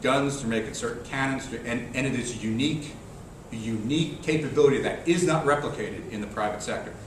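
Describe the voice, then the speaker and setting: A man at medium pitch talks very fast with ordinary pitch variation, amid noticeable background noise and audible room echo. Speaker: Army critical infrastructure risk manager. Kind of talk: conference presentation.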